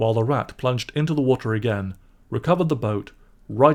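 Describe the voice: The clip consists of plain reading aloud.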